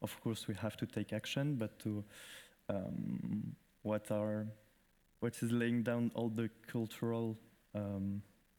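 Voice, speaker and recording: Speaking very slowly with long, frequent pauses, a man with a French accent holds a fairly low pitch, a dark, mellow tone, monotone, flat intonation and very even loudness. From France. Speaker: festival director. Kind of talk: conference presentation. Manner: halting.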